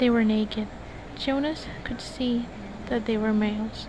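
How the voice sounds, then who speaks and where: A soft-spoken woman with a high pitch, fairly even intonation and a fairly slow pace, over noticeable background noise. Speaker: college student. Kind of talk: book reading. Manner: relaxing, soft.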